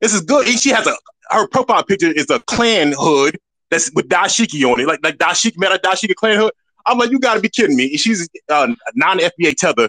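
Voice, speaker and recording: A man's raised, projected voice, high in pitch, with a bright, sharp tone, very wide pitch swings, very even loudness, a fairly quick pace and a dry, close sound with no echo. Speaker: caller. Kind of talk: casual call-in chat.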